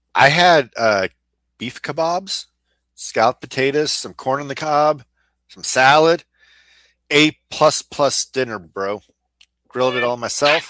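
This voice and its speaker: Pausing long and often, a man talks at a fairly slow pace in a fairly high pitch, with ordinary pitch variation and a bright, sharp tone. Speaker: sports podcast co-host. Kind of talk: casual chat.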